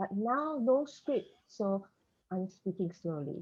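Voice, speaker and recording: Pitch swings very widely in a voice with a somewhat breathy quality. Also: woman. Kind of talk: panel discussion. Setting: video call. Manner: slow.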